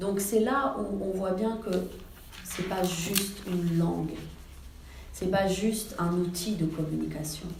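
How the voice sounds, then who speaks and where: A woman's voice with fairly even intonation, plus audible room echo and noticeable background noise. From Iran, raised in France from age six. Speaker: novelist. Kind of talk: author talk. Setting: library event with audience. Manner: hesitant, many fillers.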